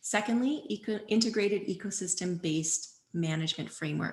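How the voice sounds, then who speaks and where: A woman with a Canadian accent talks at a fairly quick pace in a somewhat breathy voice. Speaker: watershed stewardship presenter. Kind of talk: public presentation. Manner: fast.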